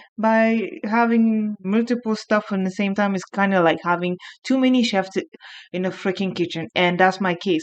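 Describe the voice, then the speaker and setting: Over a quiet background, a woman with a strong French accent speaks at a moderate pace, her medium pitch showing ordinary variation. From France. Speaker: youtuber. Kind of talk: video essay.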